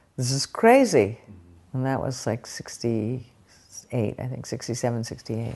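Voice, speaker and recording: A woman with an American accent speaks at a moderate pace. Her pitch is very deep and low. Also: fairly even intonation. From US West Coast, San Francisco Bay Area. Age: 70s. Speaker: oral history interviewee, activist. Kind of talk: oral history interview, personal recollection.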